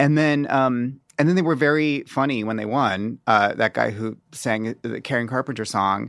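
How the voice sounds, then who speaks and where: Delivered in an unremarkable speaking voice, the speech has ordinary pitch variation, a moderate pace and hardly any pauses. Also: man, medium pitch for a man. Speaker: journalist and author. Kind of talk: casual chat.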